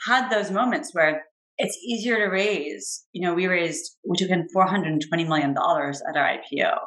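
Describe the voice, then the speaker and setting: A woman talks at a fairly quick pace with a medium pitch. Her intonation is lively. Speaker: venture capital investor. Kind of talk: interview. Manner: fast.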